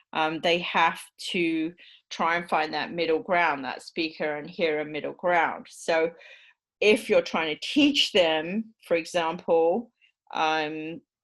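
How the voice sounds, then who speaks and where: A woman's fairly low voice in a British accent, at a very slow pace with ordinary pitch variation, on a very clean recording with a silent background. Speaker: university lecturer. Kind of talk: lecture. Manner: hesitant, many fillers.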